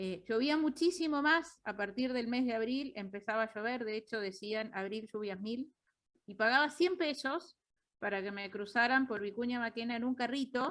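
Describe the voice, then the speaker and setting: A woman with a strong Uruguayan accent, fairly high pitch, lively intonation and a moderate pace. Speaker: economist. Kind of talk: lecture. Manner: halting.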